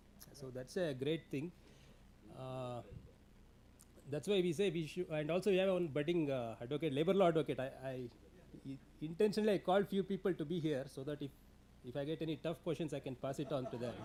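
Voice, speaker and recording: A man with an Indian accent speaks in a fairly high-pitched voice with a dark, mellow tone and ordinary pitch variation. He leaves long, frequent pauses. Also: fairly quick pace. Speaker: labour law expert, guest speaker. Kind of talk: seminar talk. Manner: fast; hesitant with fillers.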